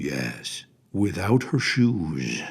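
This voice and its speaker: A man's put-on character voice, very deep and low, with very wide pitch swings. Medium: read story. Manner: gruff, know-it-all.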